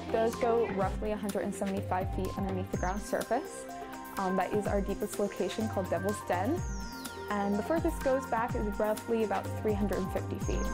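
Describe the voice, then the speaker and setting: A woman talks at a fairly quick pace. Music is clearly heard behind her. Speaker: cave tour guide. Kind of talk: interview answer. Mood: enthusiastic, warm. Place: tunnel cave. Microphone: lapel.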